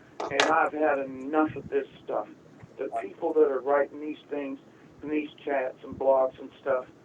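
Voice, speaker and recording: With an American accent, a man speaks slowly in a fairly high, monotone, flat voice. His loudness swings widely against noticeable background noise. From Tampa, Florida (US South). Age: 60s. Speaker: caller. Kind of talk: call-in talk.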